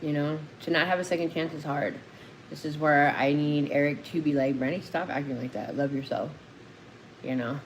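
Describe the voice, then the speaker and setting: A woman's very deep, low-pitched voice at a fairly quick pace, with long, frequent pauses, audible room echo and noticeable background noise. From Phoenix, Arizona. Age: 40s. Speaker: recovering addict and co-host of a livestream. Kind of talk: casual livestream talk. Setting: live stream. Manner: emotional, animated.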